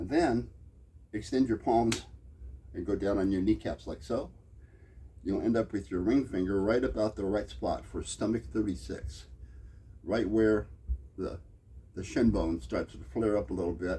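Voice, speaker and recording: A man speaks in a fairly low, dark and mellow voice with vocal fry. His pitch swings very widely, and his pauses are long and frequent. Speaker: acupressure teacher. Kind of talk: tutorial. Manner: fast.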